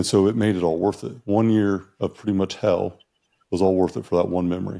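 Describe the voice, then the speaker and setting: Against a quiet background, a man speaks fairly quickly in a fairly low, dark, mellow voice with fairly even intonation. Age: 30s. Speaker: podcast host. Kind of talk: casual chat.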